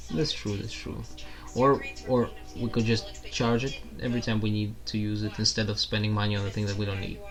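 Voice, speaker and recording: Over music in the background, a man talks fairly quickly at a fairly low pitch, with ordinary pitch variation. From Russia. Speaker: podcast guest, host's roommate. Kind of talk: casual chat.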